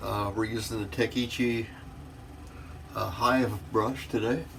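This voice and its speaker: A man's medium-pitched voice at a very slow pace, with audible room echo. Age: 60s. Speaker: wet shaving video creator. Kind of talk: casual tutorial.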